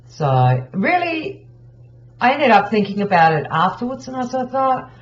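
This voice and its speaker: A woman speaks with very wide pitch swings. Her voice is somewhat breathy. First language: not English. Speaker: craft tutorial creator. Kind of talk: tutorial. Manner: casual, with many fillers. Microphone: poor quality audio.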